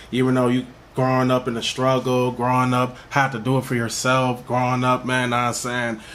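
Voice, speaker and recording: There is noticeable background noise as a man speaks with an American accent. He talks at a fairly quick pace in a monotone with flat intonation. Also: medium pitch for a man. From Minnesota, North Minneapolis. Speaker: rapper. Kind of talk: interview. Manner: repetitive filler-heavy casual speech.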